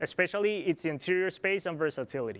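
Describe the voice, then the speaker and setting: With a Spanish accent, a high-pitched man speaks in a very clean recording with a silent background. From Colombia. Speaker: product planner. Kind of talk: corporate presentation.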